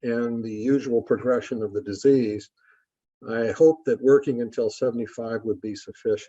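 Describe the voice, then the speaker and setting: Speaking at a medium pitch with a dark, mellow tone, a man keeps a moderate pace and ordinary pitch variation. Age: 80s+. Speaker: course instructor. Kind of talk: lecture. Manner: frequent filler 'uh' pauses.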